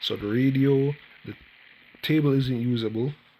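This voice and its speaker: Noticeable background noise surrounds a man speaking at a moderate pace. His pitch variation is ordinary. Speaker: gaming youtuber. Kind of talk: casual gameplay commentary. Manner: soft-spoken.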